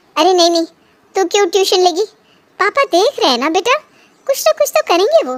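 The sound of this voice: Using a cartoonish character voice, a woman talks at an extremely high pitch with very wide pitch swings, moving at a fairly quick pace between long, frequent pauses.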